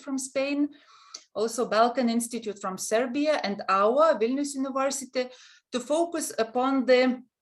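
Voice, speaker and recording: A woman with a Lithuanian accent speaks at a high pitch and a moderate pace, using ordinary pitch variation. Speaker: university counseling center head, webinar moderator. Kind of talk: webinar moderation. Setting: online webinar. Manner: halting.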